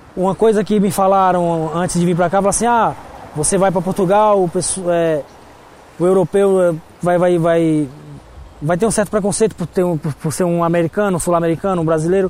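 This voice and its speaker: A man with a high pitch, a fairly quick pace, fairly even intonation and very even loudness, long, frequent pauses, and noticeable background noise. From Brazil. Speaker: restaurant manager. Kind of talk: interview. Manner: halting.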